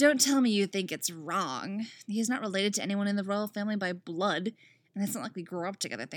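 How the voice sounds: A natural reading voice holds a fairly even intonation.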